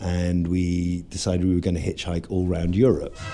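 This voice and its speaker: Someone with an English accent speaks at a moderate pace over noticeable background noise. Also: man. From England. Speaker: juggler and street performer. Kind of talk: interview storytelling.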